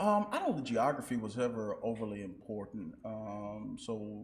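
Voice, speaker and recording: A man with a Southern US accent and fairly low pitch, with audible room echo. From Nashville, Tennessee. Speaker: school superintendent. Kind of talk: interview. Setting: stage with audience. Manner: halting.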